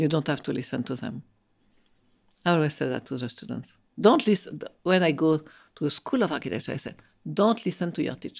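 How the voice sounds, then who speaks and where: A woman with a French accent speaks at a very deep, low pitch with very wide pitch swings. She moves at a fairly quick pace but leaves long, frequent pauses. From France. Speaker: architect and professor. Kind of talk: interview conversation. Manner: halting, repeating words.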